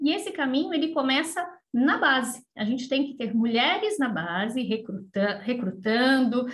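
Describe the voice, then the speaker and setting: A high-pitched woman's voice with very wide pitch swings, at a moderate pace, with audible room echo. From Brazil, São Paulo. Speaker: energy company executive. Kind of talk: interview.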